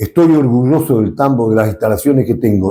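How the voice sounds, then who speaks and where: His voice carries vocal fry. The man's tone is dark and mellow. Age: 70s. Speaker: dairy extension agronomist. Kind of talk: interview.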